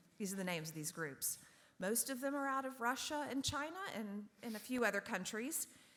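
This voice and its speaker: At a fairly quick pace, a woman speaks in a fairly high voice whose pitch swings very widely. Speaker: onstage moderator of a book talk. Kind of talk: onstage interview introduction. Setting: theatre stage with audience. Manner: fast; animated.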